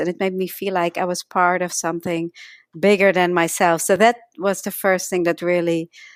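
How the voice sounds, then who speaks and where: A woman talks at a moderate pace with a slight Dutch accent. The recording is very clean with a silent background and a dry, close sound with no echo. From Netherlands. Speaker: energy healing teacher, author. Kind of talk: interview.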